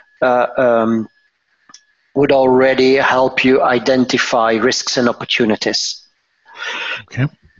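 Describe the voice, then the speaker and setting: Speaking at a fairly slow pace, a man with a Dutch accent uses a medium pitch. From Belgium, Antwerp. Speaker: pricing management director. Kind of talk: interview.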